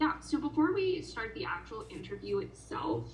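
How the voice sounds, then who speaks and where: A woman's voice is heard with audible room echo. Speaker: job interviewer. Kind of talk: job interview.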